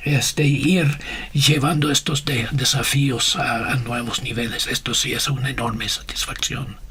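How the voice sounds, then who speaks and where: The delivery is fairly slow with fairly even intonation. Noticeable background noise is present. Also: man, fairly high pitch for a man. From USA. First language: English (speaking Spanish). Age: 60s. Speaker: missionary and communication leader. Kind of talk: interview. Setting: radio studio. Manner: halting, many fillers.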